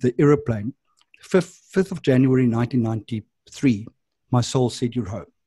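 A man with a South African accent speaks at a fairly slow pace over a quiet background. His dark, mellow tone is somewhat breathy. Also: dry sound with no echo. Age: 50s. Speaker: addiction and wellness counsellor; podcast guest. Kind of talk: interview. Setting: video call. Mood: warm, reflective. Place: home room. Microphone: video call.

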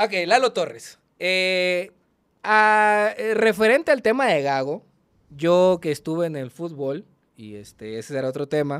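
A man speaks at a fairly slow pace in a high pitch, with very wide pitch swings and big swings in loudness. The background is quiet. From Culiacán, Sinaloa, Mexico. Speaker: online content creator and football fan. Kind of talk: casual chat. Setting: studio, in person. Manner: animated, profane, laughs often. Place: studio. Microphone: studio mic.

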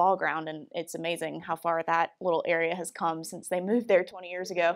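Behind the speech, things stay quiet. The speaker is a woman. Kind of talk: presentation talk. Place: hall. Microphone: podium.

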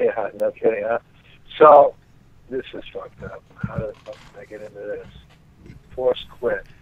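A man with an American accent talks at a fairly slow pace, pausing long and often. His volume rises and falls sharply, and background noise is noticeable. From Boston. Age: 50s. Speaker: martial arts instructor. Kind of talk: phone conversation. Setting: phone call.

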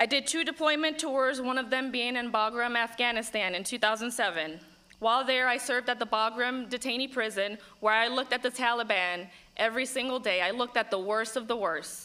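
Speaking at a fairly quick pace, a woman has a high, bright and sharp voice. Her pitch varies in an ordinary way. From Puerto Rico. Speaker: congressional candidate and veteran; candidate. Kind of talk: political debate. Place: hall. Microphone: podium.

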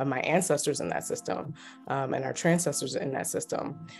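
A woman with an American accent talks at a fairly quick pace in a very deep, low voice with fairly even intonation. Faint music plays in the background. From Baltimore, Maryland. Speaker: clinical social worker and therapist. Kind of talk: interview answer. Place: home room. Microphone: phone near.

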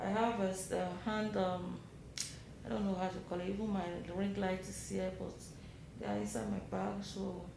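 Moderate pace, with noticeable background noise and audible room echo. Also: woman. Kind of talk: casual vlog chat. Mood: worried but calm. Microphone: phone near.

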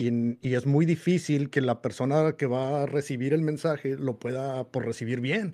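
Against a quiet background, a man with a dark, mellow tone speaks at a moderate pace in a fairly high pitch with ordinary pitch variation. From Mexico, Monterrey; Nuevo León, Mexico. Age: 40s. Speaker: homebrewer and youtuber; youtuber. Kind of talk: casual interview. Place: home room. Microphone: studio mic.

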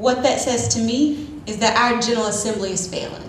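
Light background noise and audible room echo surround a woman's high-pitched voice. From Pender County, North Carolina; North Carolina. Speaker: attorney and county commissioner; panelist. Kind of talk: panel talk. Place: meeting room.

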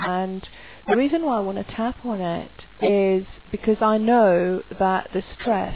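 A woman speaks at a fairly slow pace in a dry sound with no echo. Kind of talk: casual vlog chat. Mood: stressed, reflective. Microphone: headset.

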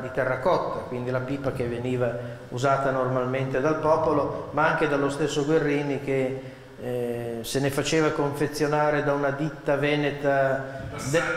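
In a room with audible echo, a man talks at a moderate pace with a fairly high pitch. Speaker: reciter of dialect poems. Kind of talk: spoken introduction to a poetry reading. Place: hall. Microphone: podium.

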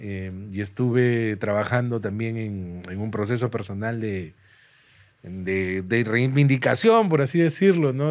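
A man's voice at a fairly slow pace, with ordinary pitch variation, big swings in loudness and a quiet background. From Peru. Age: 30s. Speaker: stand-up comedian. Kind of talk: casual chat. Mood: candid, reflective, joking. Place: studio. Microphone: studio mic.

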